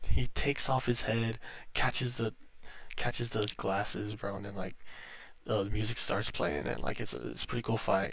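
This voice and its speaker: A man is soft-spoken. He talks at a fairly quick pace. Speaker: YouTube movie reviewer. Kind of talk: casual movie recap vlog. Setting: at home. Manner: halting, many fillers.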